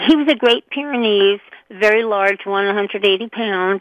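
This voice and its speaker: A woman at a fairly slow pace, with an unremarkable speaking voice in a medium pitch. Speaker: pet product entrepreneur. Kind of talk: interview.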